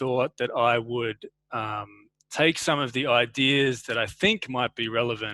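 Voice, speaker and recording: In an Australian accent, a man talks at a medium pitch and a moderate pace with fairly even intonation. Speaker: university lecturer. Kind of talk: academic webinar talk. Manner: halting.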